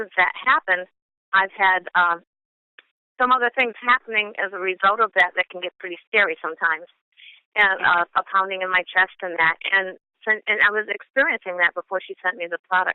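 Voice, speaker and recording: A woman with a normal speaking voice talks in an American accent at medium pitch. Her pace is fairly quick and her pitch variation ordinary. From Chicago, US Midwest. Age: 60s. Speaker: product user giving a testimony. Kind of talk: testimony.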